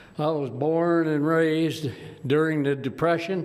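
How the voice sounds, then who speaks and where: In a room with audible echo, a man with a fairly high pitch speaks at a fairly slow pace with fairly even intonation. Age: 80s+. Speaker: war veteran and public commenter. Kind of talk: public comment at council meeting.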